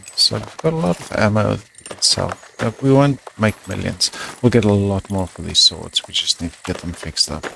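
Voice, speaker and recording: With lively intonation and big swings in loudness, a man with a fairly low pitch speaks at a moderate pace over noticeable background noise. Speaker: gaming video creator. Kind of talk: let's play commentary. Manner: quiet.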